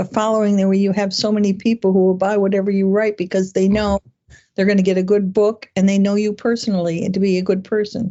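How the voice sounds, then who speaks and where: A woman at a fairly quick pace. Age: 70s. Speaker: romance author. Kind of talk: interview. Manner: halting.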